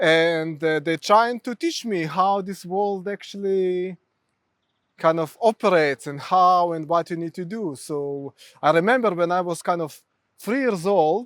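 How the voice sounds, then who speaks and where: A man with a high pitch at a fairly slow pace, in a dry, close sound with no echo and a very clean recording with a silent background. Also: ordinary pitch variation. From Ukraine. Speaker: mental health therapist. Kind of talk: interview.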